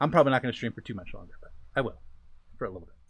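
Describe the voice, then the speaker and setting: Vocal fry marks the voice of a man speaking in an American accent. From USA. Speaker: gaming streamer. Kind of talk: casual live-stream chat while building. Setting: live stream with a co-player on voice chat.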